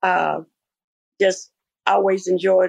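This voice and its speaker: A woman with a Mississippi accent at a moderate pace, dry and close with no echo. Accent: Southern US (Mississippi). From US South, Mississippi. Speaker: gospel choir singer. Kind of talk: radio interview.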